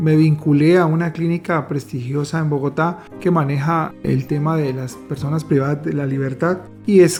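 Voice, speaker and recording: With music in the background, a man with a fairly high pitch speaks at a moderate pace and fairly even intonation, with hardly any pauses. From Colombia. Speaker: psychiatrist. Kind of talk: interview answer.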